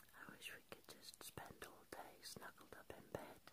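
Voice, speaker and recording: A soft-spoken woman talks at a fairly slow pace. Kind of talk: soft intimate chat to camera. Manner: sleepy soft morning murmur in bed. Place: home room. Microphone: phone near.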